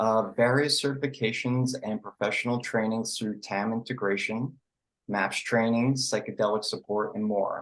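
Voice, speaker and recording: With a slight New York accent, a man of medium pitch speaks at a moderate pace and with fairly even intonation. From New York City. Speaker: psychedelic integration coach. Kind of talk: online presentation. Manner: casual, filler-heavy.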